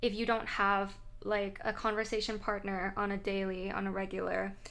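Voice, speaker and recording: A woman speaks at a medium pitch and a moderate pace, her intonation monotone and flat. Her tone is bright and sharp, with audible room echo around it. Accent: Thai. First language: Thai. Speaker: English language vlogger. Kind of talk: casual vlog talk to camera.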